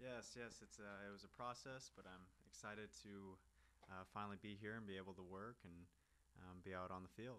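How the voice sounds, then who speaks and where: Fairly low-pitched man with an American accent, bright and sharp in tone, ordinary pitch variation, fairly quick pace. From US Midwest, Kansas City. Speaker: professional footballer. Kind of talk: interview.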